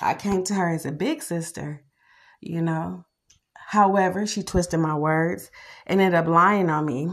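A woman's ordinary speaking voice at a fairly low pitch and moderate pace, with ordinary pitch variation, on a very clean recording with a silent background. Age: 40s. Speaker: podcast host, mother. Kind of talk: casual monologue.

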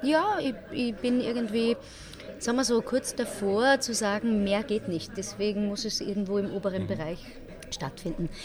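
Crowd noise and audible room echo surround a woman who speaks at a moderate pace with ordinary pitch variation. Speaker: musical theatre performer. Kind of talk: casual interview. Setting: café.

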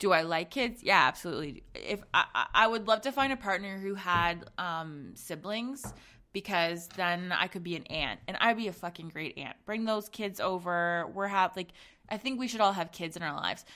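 A woman speaks at medium pitch and a moderate pace, with ordinary pitch variation. Her tone is bright and sharp, on a very clean recording with a silent background. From Zambia. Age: 20s. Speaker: podcast host and pleasure coach. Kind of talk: solo podcast monologue. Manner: casual, rambling with fillers.

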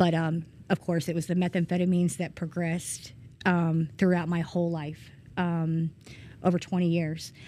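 In a Georgia accent, a woman speaks at a fairly low pitch with a dark, mellow tone. Her intonation is monotone and flat at a moderate pace, on a very clean recording with a silent background. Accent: Southern American (Georgia). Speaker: person in addiction recovery. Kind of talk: testimony. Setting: church. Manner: hesitant, many ums.

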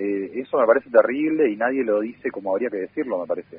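Speaking very fast, a man uses a medium pitch and ordinary pitch variation. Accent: Rioplatense. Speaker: community radio journalist. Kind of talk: interview.

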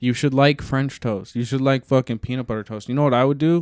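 In a very clean recording with a silent background and a dry, close sound with no echo, a man uses a normal speaking voice at a medium pitch with fairly even intonation. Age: 20s. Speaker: podcast co-host. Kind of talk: casual chat.

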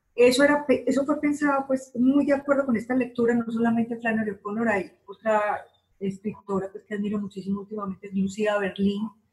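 A woman speaks with an ordinary speaking voice at a fairly high pitch. Her pitch varies in an ordinary way, with hardly any pauses. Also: fairly quick pace. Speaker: short story writer. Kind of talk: interview.

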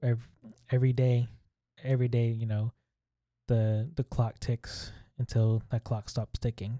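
A man speaks at a fairly slow pace in a monotone, flat intonation, with long, frequent pauses and a dark, mellow, somewhat breathy tone. The recording is very clean, with a silent background and a dry, close sound with no echo. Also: medium pitch for a man. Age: 30s. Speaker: host's husband. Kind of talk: casual chat.

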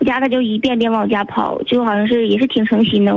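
Through noticeable background noise, a woman with a fairly high voice talks at a fairly quick pace. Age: 20s. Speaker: radio call-in listener. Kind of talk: phone-in conversation about relationship problem.

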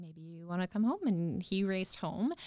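A woman's dark, mellow voice at fairly low pitch, in a Canadian Prairie accent, at a moderate pace. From rural Saskatchewan, near Yorkton. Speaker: entrepreneur and cancer survivor. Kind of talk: interview.

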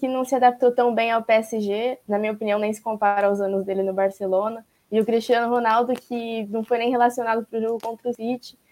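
A woman with a fairly high voice talks at a fairly quick pace in a flat monotone. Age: 20s. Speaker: panelist. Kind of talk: interview questions.

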